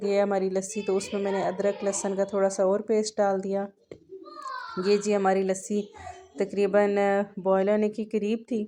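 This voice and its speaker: A woman of medium pitch speaks in a flat monotone. She leaves long, frequent pauses. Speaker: cooking vlogger. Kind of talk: cooking narration. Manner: casual, hesitant.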